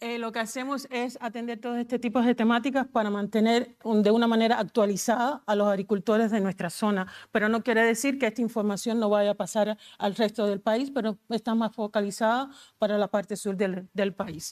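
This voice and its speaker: A woman with a Cuban accent, fairly high-pitched, at a fairly quick pace with hardly any pauses and fairly even intonation, in a very clean recording with a silent background. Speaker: agricultural advisory coordinator. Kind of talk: conference presentation. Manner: fast.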